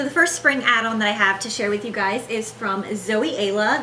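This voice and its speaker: At a moderate pace and with ordinary pitch variation, a woman talks over noticeable background noise in audible room echo. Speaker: beauty YouTuber. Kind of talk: sponsored product review. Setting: home living room. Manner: animated; kept quiet.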